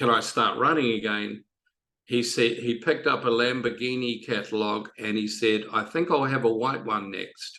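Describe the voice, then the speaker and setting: A man with a New Zealand accent speaks fairly slowly at a medium pitch, his tone bright and sharp and his intonation fairly even. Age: 60s. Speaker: triathlon coach. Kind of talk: podcast interview. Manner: halting, many fillers.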